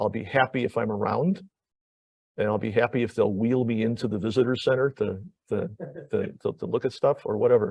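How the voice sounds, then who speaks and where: This man talks at a fairly quick pace, with a medium pitch and ordinary pitch variation. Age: 60s. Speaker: planetary geologist, professor. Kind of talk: public lecture. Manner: halting, many repetitions.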